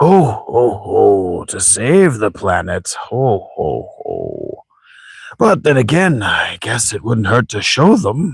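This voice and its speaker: A man's put-on character voice at medium pitch, delivered at a very slow pace on a very clean recording with a silent background. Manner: laughing.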